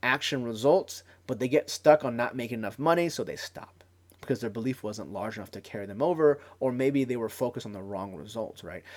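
A man talks very rapidly on a very clean recording with a silent background. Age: 30s. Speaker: podcast host and internet marketer. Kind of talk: solo podcast monologue. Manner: casual, filler-heavy.

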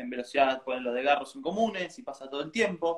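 Lively intonation runs through this man's speech. He talks at a fairly quick pace. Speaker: interview host. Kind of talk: interview.

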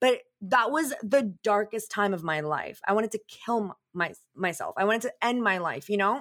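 Here is an ordinary speaking voice, a woman's, with a fairly high pitch and lively intonation. She keeps a moderate pace on a very clean recording with a silent background. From Canada. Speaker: image and confidence coach. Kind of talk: casual interview.

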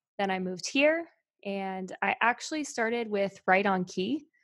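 Recorded very cleanly against a silent background, with a dry, close sound and no echo, a woman with an American accent uses a normal speaking voice at a medium pitch, with ordinary pitch variation and a fairly slow pace. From US South, North Carolina (Albemarle, near Charlotte). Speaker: singer-songwriter. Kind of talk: casual chat.

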